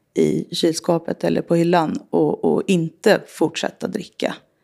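This woman's voice sits fairly low. She takes her words at a fairly unhurried pace. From Sollentuna, north of Stockholm, Sweden. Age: 40s. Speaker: recovering alcoholic sharing her story. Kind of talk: testimony.

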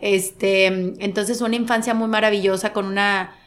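Her intonation monotone and flat, a woman talks at a moderate pace in a medium pitch. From Monterrey, Mexico. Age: 40s. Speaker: sports broadcaster. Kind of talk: interview conversation.

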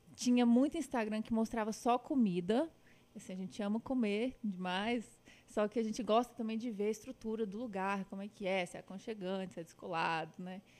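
Fairly quick speech with a Minas Gerais accent. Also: woman, fairly high pitch for a woman, ordinary pitch variation. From Minas Gerais, Brazil (Patos de Minas). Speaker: travel and food influencer. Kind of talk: casual chat.

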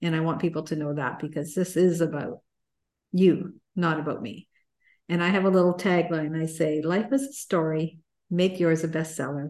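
Speaking fairly low for a woman, she has an unremarkable speaking voice and ordinary pitch variation. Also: moderate pace. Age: 60s. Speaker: success and mindset coach. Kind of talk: casual interview.

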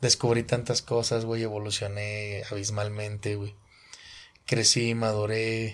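Speaking at a fairly slow pace with a Mexican accent, a man keeps to a medium pitch on a very clean recording with a silent background. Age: 30s. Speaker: podcast host and musician. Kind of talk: casual chat.

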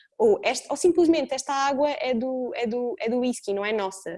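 In a very clean recording with a silent background, a woman with a dark, mellow tone speaks at a moderate pace. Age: 20s. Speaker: podcast co-host, family yoga teacher. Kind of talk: casual chat.

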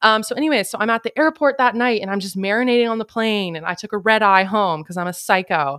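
Animated and lively in intonation, a woman speaks very fast with hardly any pauses in a very clean recording over a silent background. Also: fairly high pitch for a woman. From Canada. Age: 30s. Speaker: podcast host. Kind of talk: casual chat.

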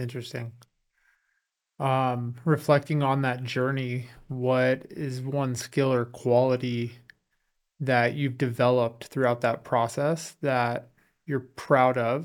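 The recording is very clean, with a silent background. A man talks very slowly in a monotone, flat delivery at medium pitch, with long, frequent pauses. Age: 30s. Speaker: podcast host. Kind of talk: casual interview. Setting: studio.

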